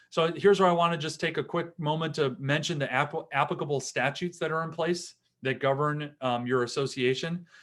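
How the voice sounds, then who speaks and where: Speaking at a fairly quick pace, a man with a Wisconsin accent uses a fairly high pitch and fairly even intonation. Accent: Wisconsin accent, still audible. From Wisconsin, US Upper Midwest. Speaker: attorney. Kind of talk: seminar lecture. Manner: conversational, with fillers.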